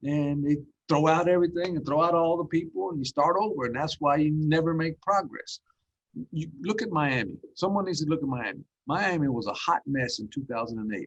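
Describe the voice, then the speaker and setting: A man with an ordinary speaking voice talks at a fairly quick pace, his fairly high pitch showing ordinary variation. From Dallas, Texas (immigrant, raised there). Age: 60s. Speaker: school district superintendent. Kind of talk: podcast interview.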